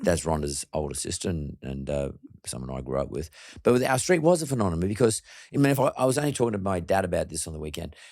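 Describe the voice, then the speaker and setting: A very fast-talking man with an Australian accent, very deep and low in pitch, with very wide pitch swings. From Australia, Sydney suburb. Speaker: podcast host. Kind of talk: interview.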